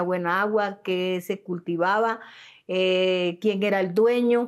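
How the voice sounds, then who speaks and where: A woman at medium pitch speaks in monotone, flat intonation on a very clean recording with a silent background. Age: 70s. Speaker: peasant land rights activist. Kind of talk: interview testimony.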